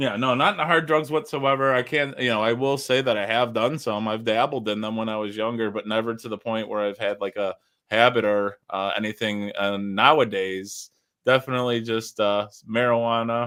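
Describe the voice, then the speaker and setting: A man talks at a moderate pace in an ordinary speaking voice, his pitch medium and his intonation fairly even. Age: 40s. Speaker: live-stream host. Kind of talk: casual chat.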